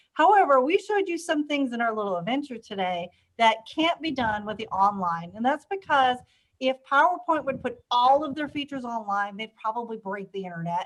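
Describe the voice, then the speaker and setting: A woman at a high pitch, fairly quick in pace, with very wide pitch swings. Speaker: instructional technology trainer. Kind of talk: live webinar tutorial. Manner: fast.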